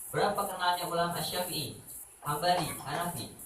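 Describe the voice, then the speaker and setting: A man's fairly high-pitched voice amid noticeable background noise, with audible room echo. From West Java (Sundanese, urban fringe). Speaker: Quran teacher at an Islamic boarding school. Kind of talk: speech to parents at school event. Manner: casual, with filler words and stammers.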